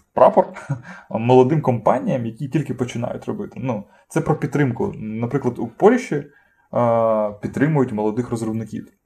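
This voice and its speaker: A man speaks at a moderate pace with a dark, mellow tone that is somewhat breathy. His intonation is lively, and he takes long, frequent pauses. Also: medium pitch for a man. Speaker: podcast co-host. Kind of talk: casual chat. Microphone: cheap poor-quality microphone.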